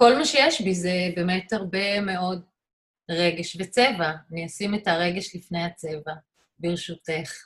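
A woman talks at a fairly slow pace with ordinary pitch variation. Her voice is somewhat breathy. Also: fairly low pitch for a woman. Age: 50s. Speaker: artist and photographer. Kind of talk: interview.

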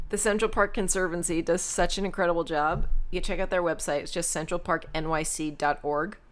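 Hardly pausing, a woman with an American accent talks at a moderate pace in a fairly low pitch with fairly even intonation. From New York City, Queens. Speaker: doctor, co-host. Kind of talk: casual chat.

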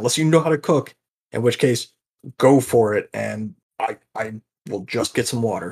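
A man puts on a raspy character voice at medium pitch. He goes at a moderate pace with long, frequent pauses. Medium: actual play. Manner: nervous, flustered.

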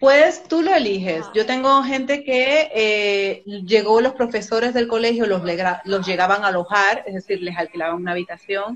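A woman speaks with lively intonation and hardly any pauses while noticeable background noise runs underneath. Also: fairly high pitch for a woman, moderate pace. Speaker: immigration adviser. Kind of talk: interview.

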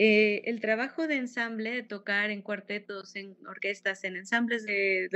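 Ordinary pitch variation accompanies a moderate speaking pace. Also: woman. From Mexico, Fresnillo, Zacatecas. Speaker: violinist and music teacher. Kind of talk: interview.

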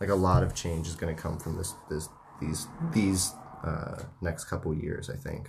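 Through noticeable background noise and audible room echo, a man with a very deep, low pitch speaks at a moderate pace. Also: ordinary pitch variation. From United States. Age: 20s. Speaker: podcast host. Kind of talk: casual chat. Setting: home studio.

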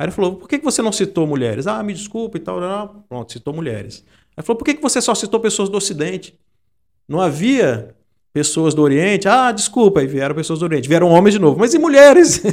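A high-pitched man speaks fairly quickly. His pitch swings very widely, and his loudness shifts in big swings. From Brazil, Espírito Santo (Santa Teresa). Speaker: journalist and data analyst. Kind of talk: interview conversation. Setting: studio, in person.

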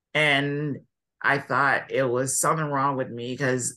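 A man talks at a moderate pace in a medium-pitched, bright, sharp voice. His delivery is monotone and flat against a quiet background. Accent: Californian. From California. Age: 20s. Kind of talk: casual interview chat.

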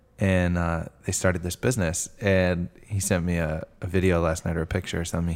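This man speaks at a fairly quick pace in a very deep, low voice with an American accent and a flat, monotone delivery. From Foxborough, Massachusetts. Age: 20s. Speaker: podcast host. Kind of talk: casual interview chat. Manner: casual, profane.

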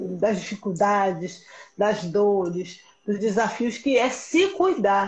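At a very slow pace, a woman speaks with a somewhat breathy, medium-pitched voice, very even loudness and ordinary pitch variation. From Pernambuco, Brazil, with Rio ties. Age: 30s. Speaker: educator. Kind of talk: casual chat.

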